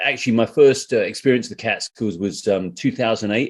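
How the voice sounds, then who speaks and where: Against a quiet background, a man with a British accent talks at a fairly quick pace in a medium pitch with ordinary pitch variation. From UK. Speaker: trail runner and hiker. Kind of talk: podcast interview. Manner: casual.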